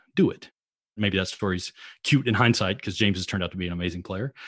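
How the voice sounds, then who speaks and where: A man talks at a very fast pace in a fairly low voice. The background is quiet. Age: 40s. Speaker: sports executive. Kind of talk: casual interview.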